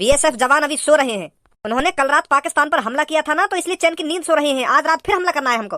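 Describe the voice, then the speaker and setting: A gruff, high-pitched put-on character voice races along at a very fast pace with hardly any pauses. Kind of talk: comic rustic cartoon dialogue. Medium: cartoon. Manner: gruff, scolding, threatening.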